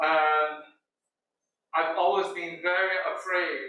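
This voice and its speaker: A man with a high pitch at a very slow pace, with fairly even intonation and audible room echo. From Brazil. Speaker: visual artist. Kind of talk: artist talk. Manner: halting, with many fillers.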